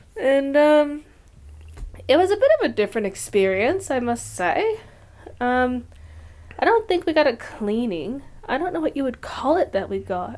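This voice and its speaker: A woman speaks at a high pitch with very wide pitch swings. Long pauses come often. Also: moderate pace. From Michigan, US. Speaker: podcast co-host. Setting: living room at night.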